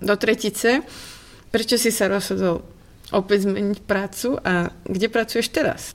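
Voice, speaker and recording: A woman speaks in a normal speaking voice at a medium pitch and a fairly slow pace. Her intonation is fairly even and her loudness very even. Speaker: podcast host. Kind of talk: interview.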